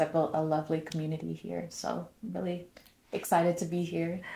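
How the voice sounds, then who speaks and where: A woman's fairly low, somewhat breathy voice with a dark, mellow tone and monotone, flat intonation. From US, North Carolina. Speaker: former diplomat, podcast guest. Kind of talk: casual interview chat.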